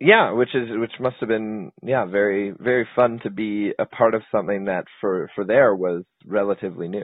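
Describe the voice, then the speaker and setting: An unremarkable speaking voice at a moderate pace, with fairly even intonation and hardly any pauses. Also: man, fairly low pitch for a man. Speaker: interviewer. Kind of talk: interview.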